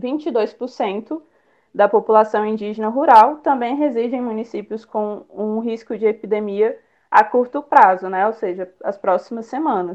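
A woman with a fairly high pitch and ordinary pitch variation talks at a fairly slow pace, an unremarkable speaking voice. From Brasília, Brazil. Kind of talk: online panel talk. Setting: online live stream.

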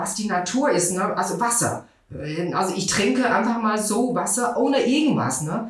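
Amid noticeable background noise and audible room echo, a woman with a Chinese accent speaks at a fairly high pitch with ordinary pitch variation. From China, Beijing. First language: Mandarin Chinese (speaking German). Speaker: TCM practitioner. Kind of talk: expert interview. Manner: halting.

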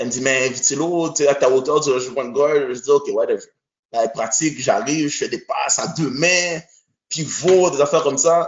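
Using an animated tone, a man talks at a fairly quick pace and a fairly high pitch. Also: ordinary pitch variation. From Montreal, Quebec (born in Haiti). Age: 30s. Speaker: basketball coach. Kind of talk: casual chat.

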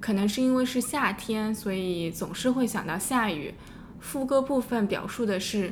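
A woman talks at a fairly slow pace in a fairly high pitch. Her voice is somewhat breathy, with ordinary pitch variation. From Shanghai, China. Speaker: podcast co-host. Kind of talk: scripted narration; casual interview.

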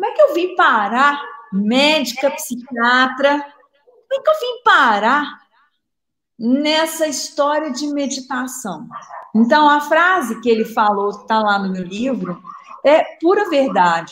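Very slow speech from a high-pitched woman with a Minas Gerais accent, very wide pitch swings and long, frequent pauses. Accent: Minas Gerais Brazilian Portuguese. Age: 60s. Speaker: psychiatrist and meditation author. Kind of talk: live interview. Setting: live video stream.

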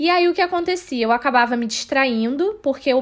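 Her high-pitched voice swings very widely in pitch as the woman speaks at a fairly quick pace. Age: 20s. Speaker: social media manager, film student. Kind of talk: casual chat.

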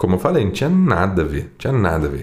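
A man is speaking. His pace is very fast. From Brazil, Poços de Caldas. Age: 20s. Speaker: sertanejo singer. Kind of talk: casual chat.

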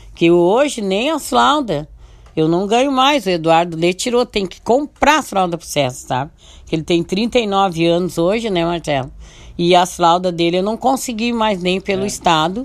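A woman with a medium pitch speaks at a moderate pace, her pitch swinging very widely. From southern Brazil, Santo Antônio da Patrulha area. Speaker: community leader. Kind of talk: radio interview, life story.

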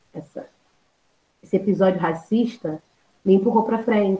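Her tone is dark and mellow. This woman's pitch is medium, with ordinary variation. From Baixada Fluminense, Rio de Janeiro, Brazil. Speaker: history teacher. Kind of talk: podcast interview.

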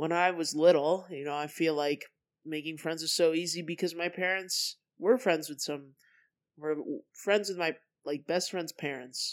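A woman with an American accent speaks in a plain, everyday voice at a fairly low pitch. Her pace is moderate and her intonation fairly even. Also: very clean recording, silent background. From Colorado. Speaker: podcast host, college student. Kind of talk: solo monologue podcast. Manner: casual, filler-heavy.

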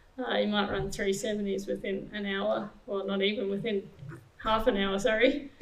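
There is noticeable background noise as a woman talks in an Australian accent. Her pitch is fairly high and her intonation fairly even. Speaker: sprinter. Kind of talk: panel Q&A. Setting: stage with audience.

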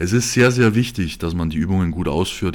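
A man talks at a moderate pace in a very deep, low pitch. The recording is very clean, the background silent. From Bavaria, Germany. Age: 20s. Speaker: podcast host, professional bodybuilder. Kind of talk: solo monologue podcast.

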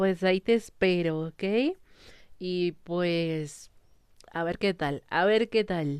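Speaking at a medium pitch, a woman shows ordinary pitch variation. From Mexico. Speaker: listener sending voice messages. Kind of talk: casual chat.

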